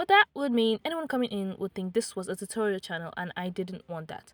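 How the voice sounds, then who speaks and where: A woman's very fast, lively speech, dry and close with no echo, on a very clean recording with a silent background. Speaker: YouTuber, artist and writer. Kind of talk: casual vlog introduction. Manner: alternating annoyed and apathetic tone.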